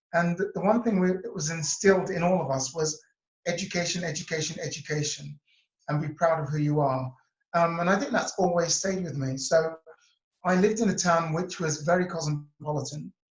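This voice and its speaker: Speaking at a fairly quick pace in a Cambridge accent, a man uses a high pitch with ordinary pitch variation. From England, near Cambridge. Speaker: interview guest, self-worth coach. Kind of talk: interview.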